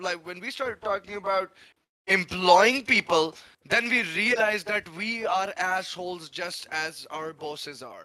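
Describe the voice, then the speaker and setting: A high-pitched man's raised, projected voice at a fairly slow pace, with ordinary pitch variation and big swings in loudness. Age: 30s. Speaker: former game artist, stream panelist. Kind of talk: casual chat.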